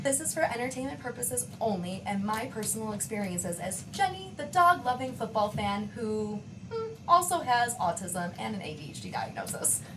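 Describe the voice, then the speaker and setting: The pitch swings very widely. Noticeable background noise and audible room echo surround the voice. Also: woman. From Western New York, US. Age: 20s. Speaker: podcast co-host, nurse practitioner. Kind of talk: casual podcast chat.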